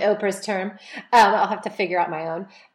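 A woman talks at a fairly quick pace with an unremarkable speaking voice. Her medium pitch follows fairly even intonation. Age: 40s. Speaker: podcast host. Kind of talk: interview.

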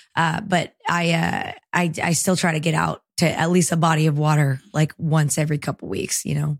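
Speaking at a moderate pace with hardly any pauses, a woman has a very deep, low pitch, vocal fry and fairly even intonation. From El Salvador, then Marietta, Georgia. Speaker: singer-songwriter. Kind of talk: casual interview chat.

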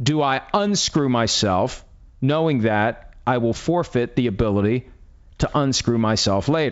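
Keeping his loudness very even, a man with an American accent speaks fairly slowly at medium pitch with lively intonation in a plain, everyday voice. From West Virginia. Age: 50s. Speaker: podcast host. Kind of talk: casual chat.

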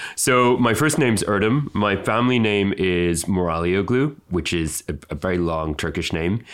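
Speaking in a normal speaking voice at a fairly low pitch, a man keeps a moderate pace with hardly any pauses, very even loudness and lively intonation. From Canada, then UK. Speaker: fashion designer. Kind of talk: interview.

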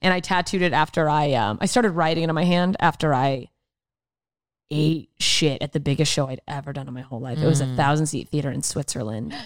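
The recording is very clean, with a silent background. A woman speaks at a fairly quick pace with very deep, low pitch. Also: ordinary pitch variation. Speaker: stand-up comedian, podcast guest. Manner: fast talker.

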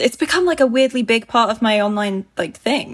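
Delivered at a moderate pace with ordinary pitch variation, the voice has a British accent and a dry, close sound with no echo. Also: woman. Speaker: YouTuber. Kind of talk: casual chat.

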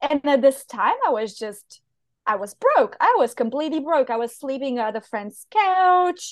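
Using very wide pitch swings, a woman with a Bulgarian accent speaks at a high pitch and a moderate pace. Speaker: online business manager, digital nomad. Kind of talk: interview conversation.

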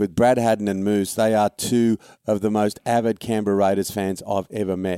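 With an Australian accent, the voice has a dark, mellow tone and a flat monotone, moving at a moderate pace in a dry, close sound with no echo. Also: man, fairly low pitch for a man. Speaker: sports podcast host. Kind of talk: casual sports chat.

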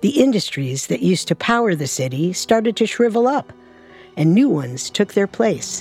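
Very wide pitch swings from a woman, music playing behind her. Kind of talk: true-crime narration. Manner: even, suspenseful, steady narration.

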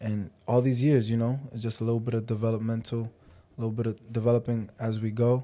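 Very fast speech from a man at medium pitch, dark, mellow tone, monotone, flat intonation, very clean recording with a silent background. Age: 20s. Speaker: professional boxer. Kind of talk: interview. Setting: studio.

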